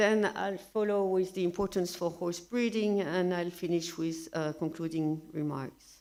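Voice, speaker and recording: In a French accent, a woman speaks at a fairly low pitch and a fairly slow pace. Her intonation stays fairly even. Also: hardly any pauses, very clean recording, silent background. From France. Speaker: researcher. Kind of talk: lecture. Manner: halting, many fillers.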